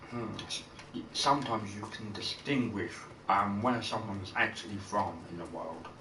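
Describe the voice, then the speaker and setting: A man with a fairly low pitch speaks at a moderate pace, his loudness swinging widely and his pitch varying in an ordinary way. Noticeable background noise and audible room echo fill the recording. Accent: British. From Britain. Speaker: video game streamer. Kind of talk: casual gameplay commentary. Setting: live stream.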